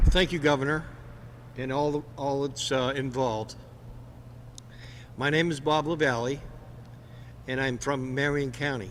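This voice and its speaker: Audible room echo surrounds a man's voice. He speaks at a medium pitch and a fairly slow pace. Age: 60s. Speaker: senior citizen patient. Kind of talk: personal testimony. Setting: press conference. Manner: halting, slight word-finding difficulty.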